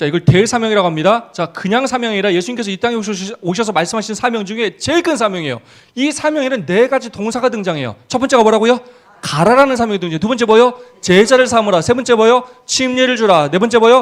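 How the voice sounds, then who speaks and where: A man talks at a very fast pace in an animated tone. His pitch is high, with ordinary pitch variation. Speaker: pastor. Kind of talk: seminar lecture.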